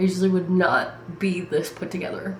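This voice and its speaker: There is audible room echo and noticeable background noise as a woman speaks at a medium pitch and moderate pace. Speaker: vlogger, college student. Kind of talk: casual vlog chat. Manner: loud.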